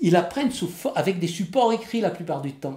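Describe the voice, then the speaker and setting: The man talks at a moderate pace, with vocal fry in his voice. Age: 70s. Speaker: Corsican language teacher. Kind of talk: interview testimony.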